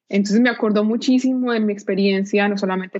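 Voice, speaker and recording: In a plain, everyday voice, a woman speaks at a fairly quick pace with medium pitch and ordinary pitch variation. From Colombia, Pereira (paisa region). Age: 30s. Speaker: nonprofit director. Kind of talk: interview.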